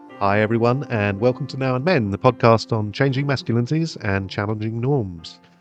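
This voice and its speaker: Music plays in the background as a man with a medium pitch talks at a fairly quick pace. He leaves hardly any pauses, and his pitch varies in an ordinary way. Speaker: podcast host. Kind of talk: podcast intro.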